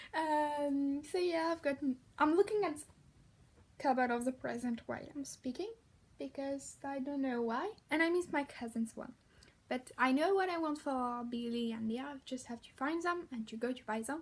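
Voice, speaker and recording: A woman speaks with a French accent at a high pitch. Her pace is moderate. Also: ordinary pitch variation. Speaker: vlogger. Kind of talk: casual vlog. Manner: halting.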